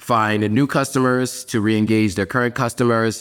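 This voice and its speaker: This is a normal speaking voice with an American accent. It moves at a moderate pace. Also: man. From US Northeast (New York and Pennsylvania). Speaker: advertising strategist. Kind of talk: interview.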